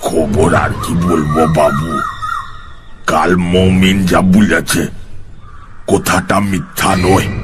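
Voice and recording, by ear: Against clear background noise, a man uses a put-on character voice pitched very deep and low, speaking at a very slow pace.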